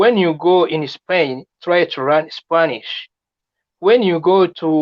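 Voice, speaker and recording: Words come at a very slow pace in a French accent. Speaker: immigration advice video maker. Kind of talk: live stream chat. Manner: halting, many repetitions.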